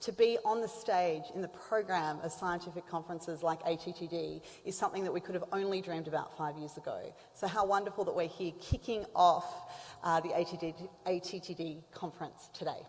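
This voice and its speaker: A woman talks at a fairly quick pace in a fairly low voice. Her intonation stays fairly even. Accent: Australian. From Australia. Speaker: symposium moderator. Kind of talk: conference introduction.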